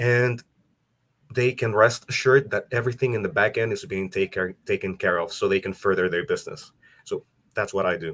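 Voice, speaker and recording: A man in a Salvadoran accent, at a fairly quick pace with ordinary pitch variation. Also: medium pitch for a man, dry, close sound with no echo. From El Salvador. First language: Spanish. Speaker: business support for speakers. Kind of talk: interview podcast.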